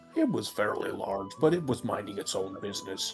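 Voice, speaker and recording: Over clear background music, a man performs a put-on character voice at a fairly quick pace. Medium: actual play. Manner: mild, innocent.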